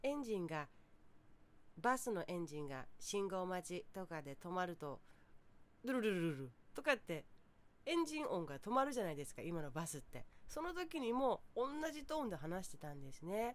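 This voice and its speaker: A woman's medium-pitched voice at a moderate pace, with very wide pitch swings and long, frequent pauses. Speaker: podcaster. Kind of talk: solo talk monologue.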